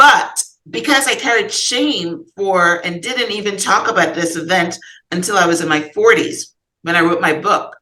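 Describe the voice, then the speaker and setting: This woman speaks in a Guyanese accent at a moderate pace. Her tone is bright and sharp, and her intonation lively. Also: medium pitch for a woman. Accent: Guyanese Caribbean English. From Guyana. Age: 60s. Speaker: author and podcast guest. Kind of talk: therapy session conversation. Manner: halting.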